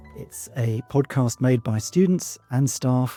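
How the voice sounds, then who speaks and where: On a very clean recording with a silent background, a man speaks in a somewhat breathy voice with a dark, mellow tone. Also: dry, close sound with no echo. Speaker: university English lecturer. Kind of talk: podcast host talk.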